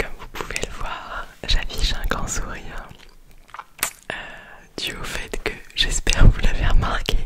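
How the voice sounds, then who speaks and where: A whispering woman at a fairly slow pace, with long, frequent pauses, big swings in loudness and noticeable background noise. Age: 20s. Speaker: ASMR creator. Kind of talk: casual ASMR chat about Christmas gifts. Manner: whispered.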